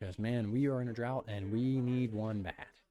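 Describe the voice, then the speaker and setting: A man speaks at a moderate pace in a medium pitch, his dark, mellow tone showing ordinary pitch variation. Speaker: esports caster. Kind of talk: live commentary.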